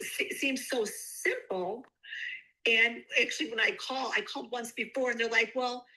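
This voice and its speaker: High-pitched woman's voice, raised and projected, bright and sharp in tone, with lively intonation at a moderate pace. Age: 60s. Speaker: customer giving a product testimonial. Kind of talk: testimony. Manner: animated.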